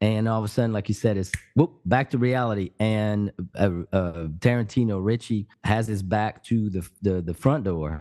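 With a French accent, a man speaks in a fairly low pitch with a dark, mellow tone and ordinary pitch variation, recorded dry and close with no echo against a quiet background. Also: moderate pace. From France, Paris area. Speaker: podcast co-host. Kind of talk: casual chat. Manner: halting.

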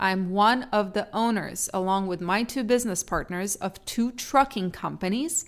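A woman's medium-pitched voice with an Eastern European accent, moderate pace, hardly any pauses, ordinary pitch variation and a very clean recording with a silent background. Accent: Eastern European-tinged English, noticeable. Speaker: trucking podcaster and YouTuber. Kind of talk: casual solo podcast monologue. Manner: conversational, personal, chatty.

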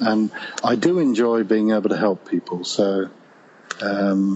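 There is noticeable background noise as a man speaks at a fairly low pitch and a fairly slow pace. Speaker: pilgrim. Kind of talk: casual interview chat. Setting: phone call.

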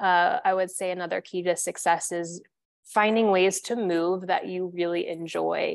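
A woman with a Midwestern American accent, medium pitch, moderate pace and flat, monotone intonation. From US Midwest, central Illinois. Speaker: yoga studio director. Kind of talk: interview.

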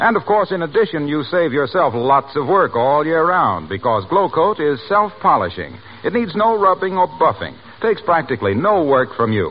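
A man talks with very wide pitch swings and hardly any pauses. Noticeable background noise is present. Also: fairly high pitch for a man, moderate pace. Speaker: radio announcer. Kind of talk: scripted radio sponsor announcement. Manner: formal, smooth, polished salesman delivery.

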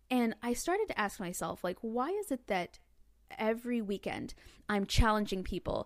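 An unremarkable speaking voice with an American accent moves at a moderate pace. The intonation is lively, and the recording is very clean with a silent background. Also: woman, fairly high pitch for a woman. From US South, Northwest Arkansas. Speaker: comedian and podcast host. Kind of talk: casual chat.

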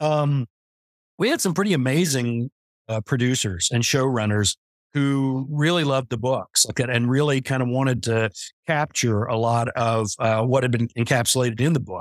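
A man uses a normal speaking voice with medium pitch and ordinary pitch variation at a moderate pace. The recording is very clean, with a silent background and a dry, close sound with no echo. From US West. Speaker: novelist. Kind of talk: interview.

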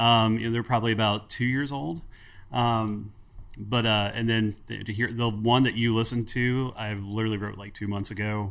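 With an American accent, a man speaks at a moderate pace and medium pitch in a monotone, flat way. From US Midwest, Cincinnati, Ohio. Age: 30s. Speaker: guitarist and songwriter. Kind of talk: casual interview chat.

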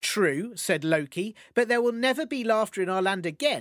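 Lively intonation in a natural reading voice

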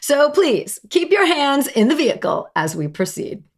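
A woman in a New Jersey accent, fairly slow in pace, with very wide pitch swings. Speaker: podcast host. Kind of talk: solo podcast monologue. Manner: casual, chatty.

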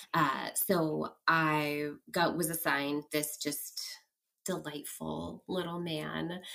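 The speaker has a West Coast US accent. The delivery is very slow. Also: woman. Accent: General American (West Coast). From US West Coast, San Francisco Bay Area. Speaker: clinical social worker. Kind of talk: casual interview, storytelling.

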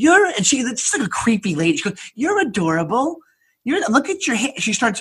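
This man talks at an extremely high pitch, swinging very widely up and down. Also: moderate pace. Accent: American. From Long Island, New York. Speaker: stand-up comedian. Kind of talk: casual chat, storytelling.

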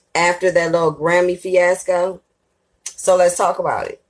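The woman's voice sits at a medium pitch. She speaks at a moderate pace. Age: 30s. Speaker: podcast host, entertainment commentator. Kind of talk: casual monologue commentary.

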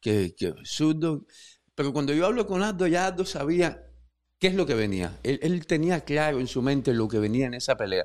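A man's fairly high voice with very wide pitch swings and long, frequent pauses against a quiet background. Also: moderate pace. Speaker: podcast host. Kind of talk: interview conversation. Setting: studio.

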